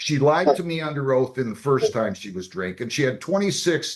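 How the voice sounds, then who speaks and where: A man speaks loudly in a fairly high voice with very wide pitch swings. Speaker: judge. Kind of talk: court hearing. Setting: courtroom.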